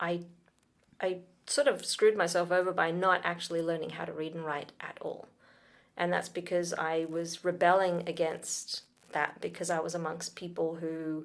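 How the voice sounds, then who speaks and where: Speech comes at a moderate pace with fairly even intonation. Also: woman, fairly low pitch for a woman. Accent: Australian. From Sudan, then Britain and Australia. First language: Arabic. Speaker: talent manager and producer. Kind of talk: interview conversation.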